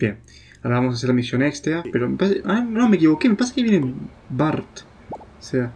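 Over light background noise, a man with a fairly high pitch speaks in very wide pitch swings, leaving long, frequent pauses. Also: fairly quick pace. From Argentina. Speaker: gaming youtuber. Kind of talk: let's play commentary. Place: home room. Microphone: problems with USB microphone.

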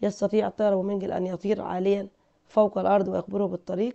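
With an Egyptian accent, the speaker keeps a fairly even intonation. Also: woman. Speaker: English teacher. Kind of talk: lesson. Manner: slow, repetitive drilling.

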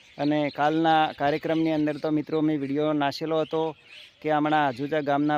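The man's fairly high voice runs in a monotone, flat intonation. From North Gujarat, India. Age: 40s. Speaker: folk singer. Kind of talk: vlog appeal to followers.

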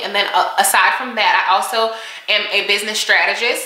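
This is a woman talking. Her pace is moderate, with audible room echo. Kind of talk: casual vlog chat. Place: home room. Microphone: camera far.

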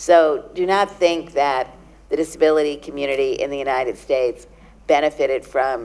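In a New York accent, a woman speaks at a moderate pace with a very deep, low pitch. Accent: New York American. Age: 60s. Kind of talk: conference talk. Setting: stage with audience. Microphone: handheld.

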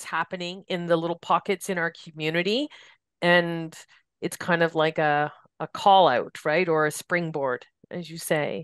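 In an ordinary speaking voice, a woman with a Canadian accent talks at a moderate pace and a fairly low pitch, the sound dry and close with no echo. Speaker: podcast host, hospice staff. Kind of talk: podcast interview. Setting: studio.

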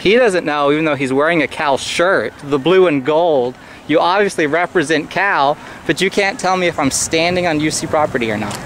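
At a moderate pace, a man talks with ordinary pitch variation, the sound dry with no echo and a little background noise behind him. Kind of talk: confrontational questioning and commentary. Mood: challenging, sarcastic. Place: street.

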